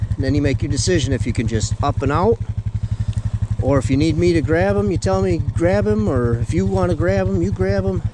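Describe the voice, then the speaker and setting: A man with a fairly low voice speaks fairly quickly, his loudness very even and his pitch varying in an ordinary way. Noticeable background noise runs behind him. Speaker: fishing video host. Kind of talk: outdoor instructional chat. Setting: outdoors on a frozen lake. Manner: loud when excited.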